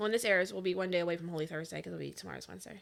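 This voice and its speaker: A woman speaks with vocal fry. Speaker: podcast co-host. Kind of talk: casual chat. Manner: loud.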